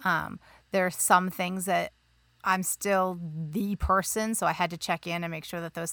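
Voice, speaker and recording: On a very clean recording with a silent background, a woman speaks at a moderate pace in a fairly low, bright, sharp voice, her intonation fairly even but her loudness swinging widely. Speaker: podcast host. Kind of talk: casual chat.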